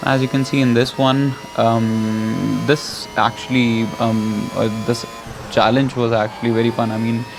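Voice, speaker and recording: Over music in the background, a man with an Indian accent talks at a fairly slow pace, medium in pitch, monotone and flat, with very even loudness. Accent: Indian English, noticeable. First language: not English. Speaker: gaming YouTuber. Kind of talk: gameplay commentary. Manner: halting, many fillers.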